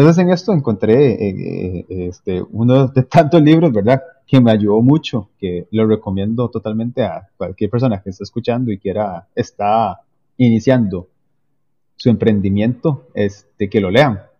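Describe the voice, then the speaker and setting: Speaking fairly slowly in a Costa Rican accent, a man uses a medium pitch and lively intonation. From Costa Rica, Limón province. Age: 30s. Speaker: civil engineer and entrepreneur. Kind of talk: interview conversation. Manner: halting, many fillers.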